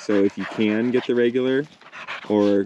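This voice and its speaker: Light background noise sits behind a man speaking at a fairly low pitch in a monotone, flat intonation. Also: dry sound with no echo. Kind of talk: product demonstration talk. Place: open country. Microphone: phone near.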